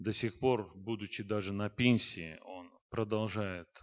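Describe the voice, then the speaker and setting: In a plain, everyday voice, a man speaks at a fairly low pitch. His intonation stays fairly even. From Azerbaijan, Baku. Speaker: pastor and saxophonist. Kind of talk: testimony.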